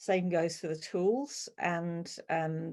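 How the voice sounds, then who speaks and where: A woman's fairly low voice, dark and mellow, with fairly even intonation. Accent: British. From UK. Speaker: quilt pattern designer and teacher. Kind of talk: webinar Q&A. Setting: online video webinar.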